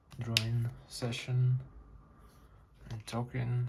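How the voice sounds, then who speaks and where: A man mumbles at a very slow pace in a somewhat breathy voice. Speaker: artist. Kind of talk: casual drawing session chat. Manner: halting, with many fillers; mumbling.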